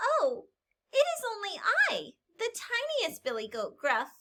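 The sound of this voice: A woman puts on a character voice and pitches it extremely high. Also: moderate pace.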